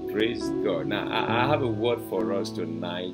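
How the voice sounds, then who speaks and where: Loud music plays in the background. A man speaks over it at a moderate pace. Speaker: preacher hosting a broadcast. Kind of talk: sermon. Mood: warm, enthusiastic. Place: home room.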